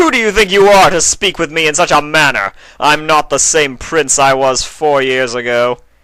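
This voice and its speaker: Putting on a growling character voice, a man talks at a moderate pace with a fairly high pitch and ordinary pitch variation. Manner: growling, angry.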